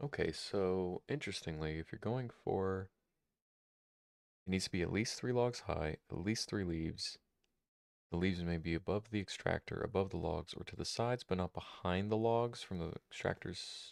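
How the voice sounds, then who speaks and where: A man with a very deep, low voice speaks with ordinary pitch variation. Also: moderate pace, dry, close sound with no echo. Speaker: streamer. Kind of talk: gameplay live stream. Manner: casual, hesitant.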